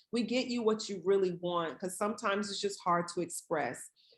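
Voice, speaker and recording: A woman speaks with ordinary pitch variation. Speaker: palliative care physician. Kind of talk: webinar presentation. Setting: online webinar. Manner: fast.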